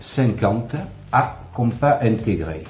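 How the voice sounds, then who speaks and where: Noticeable background noise and audible room echo accompany a man talking at a medium pitch. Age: 60s. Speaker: customer product reviewer. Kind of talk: product review.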